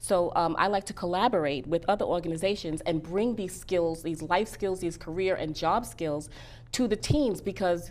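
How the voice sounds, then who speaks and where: In a New York accent, a woman speaks at a fairly low pitch with vocal fry. Her pace is moderate and her pitch variation ordinary. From Bronx, New York. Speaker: career coach and author. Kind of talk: interview.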